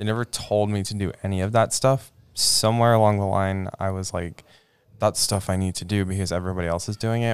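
In an American accent, a man with an unremarkable speaking voice talks at a fairly quick pace, fairly low in pitch, with fairly even intonation. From Idaho, US West. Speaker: student panel member. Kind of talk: casual chat.

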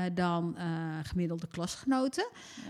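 A woman speaks at a fairly slow pace. Her fairly low pitch shows ordinary pitch variation. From Netherlands. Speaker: former member of parliament. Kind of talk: casual chat. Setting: at home.

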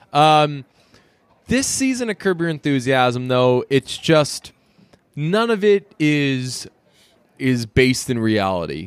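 A man with an American accent and a fairly high voice speaks in an animated tone, his pitch swinging very widely between long, frequent pauses. The sound is dry and close, with no echo. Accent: slight Boston tinge when speaking fast. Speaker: podcast co-host. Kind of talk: casual chat.

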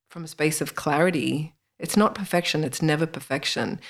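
With an Australian accent, a woman talks at a moderate pace in a very deep, low voice. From Australia, northern Sydney. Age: 40s. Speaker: spiritual author and healer. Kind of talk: interview.

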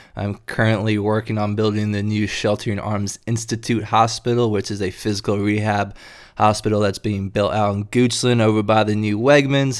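At a moderate pace, a man with a fairly low pitch and an American accent speaks in a monotone, flat intonation on a very clean recording with a silent background. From North Carolina (Durham, Chapel Hill). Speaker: health and fitness podcast host. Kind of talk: solo podcast monologue.

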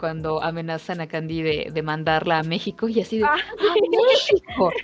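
A woman is talking. Noticeable background noise runs behind her. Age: 30s. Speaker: podcast co-host. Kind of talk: casual chat.

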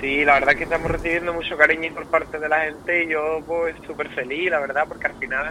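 Noticeable background noise sits under a man talking at a very fast pace with an Andalusian accent. His pitch is fairly high and his intonation is flat and monotone. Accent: Cádiz. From Andalusia, Rota (Cádiz). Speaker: pop singer. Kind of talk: interview.

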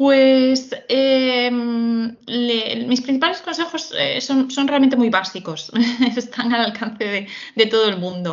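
A woman's high voice, very slow in pace, with lively intonation. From Galicia, Spain. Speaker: HR recruitment executive. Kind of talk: interview. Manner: halting.

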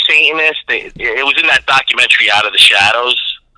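A man talks at a very fast pace with an American accent over noticeable background noise. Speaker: comedian guest.

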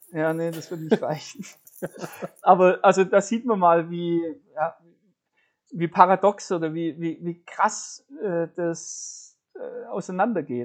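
The speaker goes at a very slow pace, with long, frequent pauses. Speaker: wine podcast host. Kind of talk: casual chat. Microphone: makeshift setup, quality may be worse.

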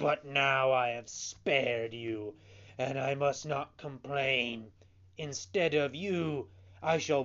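The voice is an unforced reading one. Its pitch rises and falls in an ordinary way.

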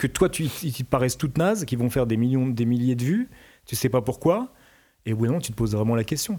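This man's voice has a dark, mellow tone. He talks at a fairly quick pace. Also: medium pitch for a man, ordinary pitch variation, very clean recording, silent background. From France. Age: 50s. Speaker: musician. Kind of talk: interview.

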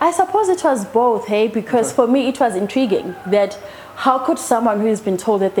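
A woman's fairly high, lively voice at a fairly quick pace, with noticeable background noise. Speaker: hypnotherapist. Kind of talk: interview.

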